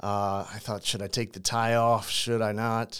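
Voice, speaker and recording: A man's plain, everyday voice at medium pitch and a fairly slow pace, in a very clean recording with a silent background. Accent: American. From St. Louis, Missouri, US Midwest. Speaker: crisis communications consultant, former prisoner. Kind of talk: interview, personal story.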